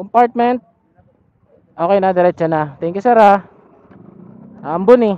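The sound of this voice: A high-pitched man's voice, clear and smooth in tone, with ordinary pitch variation at a fairly slow pace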